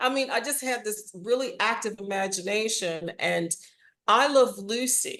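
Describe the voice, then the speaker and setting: Fairly slowly, a woman speaks in a fairly high voice with a bright, sharp tone. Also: ordinary pitch variation. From Washington DC, US. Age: 60s. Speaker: audio drama writer and actor. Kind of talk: interview.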